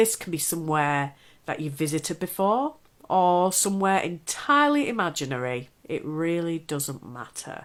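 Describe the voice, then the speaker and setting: A woman with a normal speaking voice, a fairly low pitch and lively intonation speaks at a moderate pace with big swings in loudness on a very clean recording with a silent background. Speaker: hypnotherapist. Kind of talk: guided relaxation / hypnotherapy talk. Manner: calm, instructive.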